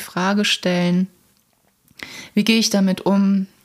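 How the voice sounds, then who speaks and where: The woman has a normal speaking voice. She talks at a fairly slow pace. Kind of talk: guided meditation. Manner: slow, soothing, calm.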